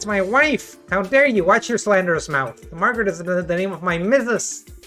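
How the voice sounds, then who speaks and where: Doing a put-on character voice, a man speaks in a gravelly, high pitch at a moderate pace as clear music plays behind him. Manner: indignant, shouting.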